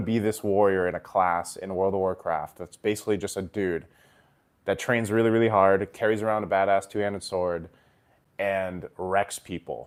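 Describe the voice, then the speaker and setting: Fairly even intonation from a man with a fairly low voice, at a moderate pace. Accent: American. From Japan and US, Filipino heritage. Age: 30s. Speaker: esports commentator and streamer. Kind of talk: casual livestream chat. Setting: livestream. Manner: casual, conversational.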